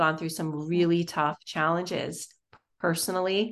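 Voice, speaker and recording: A woman speaks in a plain, everyday voice at a moderate pace, pitched fairly low. Her intonation is fairly even, and the background is quiet. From Florida. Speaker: nonprofit consultant, business founder. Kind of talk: casual interview.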